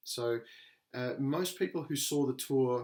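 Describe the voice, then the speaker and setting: A man with a medium pitch and fairly even intonation talks at a very slow pace. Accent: Australian. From Australia. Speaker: podcast co-host. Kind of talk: casual chat.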